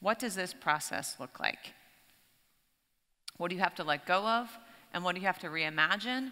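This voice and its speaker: A woman talks with lively intonation. Behind her, things stay quiet. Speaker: keynote speaker. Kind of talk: keynote speech. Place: stage. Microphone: headset.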